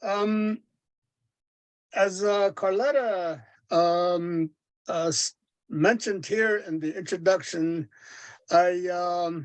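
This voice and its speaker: Very slow speech with a Navajo accent, long and frequent pauses, ordinary pitch variation and a quiet background. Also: man, high pitch for a man. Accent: Navajo (Diné) English. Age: 70s. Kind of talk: seminar talk. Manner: halting, many fillers.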